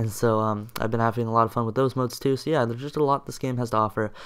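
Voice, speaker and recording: The speaker is a man with a medium pitch. He talks at a very fast pace. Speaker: gaming YouTuber. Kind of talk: casual commentary. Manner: filler-heavy, casual.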